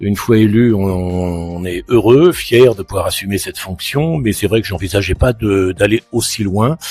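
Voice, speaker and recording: A man with a fairly low pitch and ordinary pitch variation, at a fairly slow pace with hardly any pauses. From France, Île-de-France (Yvelines). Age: 60s. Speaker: mayor and local politician. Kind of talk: interview. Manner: hesitant, many fillers and repetitions.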